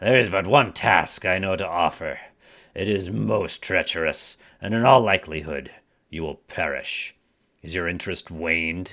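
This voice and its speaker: Using a put-on character voice, a man speaks at a moderate pace with a raspy, very deep, low pitch, recorded very cleanly against a silent background. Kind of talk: archaic, theatrical. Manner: grave, ominous.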